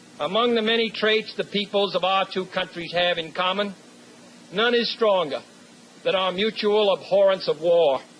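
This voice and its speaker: Against noticeable background noise, a man with an American accent speaks at a high pitch. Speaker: U.S. president giving a commencement address. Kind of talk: formal commencement speech. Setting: podium speech to a live audience, 1963 recording. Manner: measured, oratorical.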